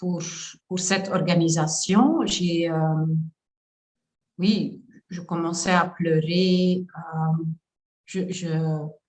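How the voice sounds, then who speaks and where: A somewhat breathy voice moves at a very slow pace in a monotone, flat intonation, with audible room echo. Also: woman. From Flanders, Belgium. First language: Dutch (Flemish) (speaking French). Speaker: coach. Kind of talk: testimony. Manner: halting, many hesitations.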